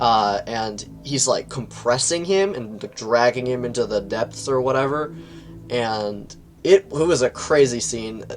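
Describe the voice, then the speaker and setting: With music in the background, a man speaks at a medium pitch and a fairly slow pace. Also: ordinary pitch variation. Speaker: video game book reviewer. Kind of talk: casual review monologue. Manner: animated.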